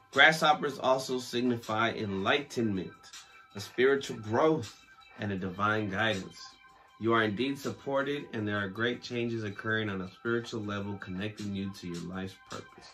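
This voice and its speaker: Over faint music in the background, a man talks at a moderate pace with big swings in loudness. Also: fairly low pitch for a man, ordinary pitch variation. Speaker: podcast host. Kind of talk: podcast reading from sources. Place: home room.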